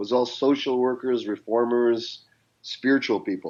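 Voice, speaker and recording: Against a quiet background, a man with a Canadian accent talks at a moderate pace in an unremarkable speaking voice, his pitch medium. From Canada, of Indian descent. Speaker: business and life coach. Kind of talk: interview conversation.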